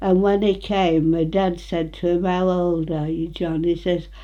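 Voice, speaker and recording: A woman speaks in a dark, mellow tone at a fairly low pitch. Her intonation stays fairly even. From England, Retford, Nottinghamshire. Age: 90s. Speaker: elderly local resident. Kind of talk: casual reminiscing interview. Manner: halting.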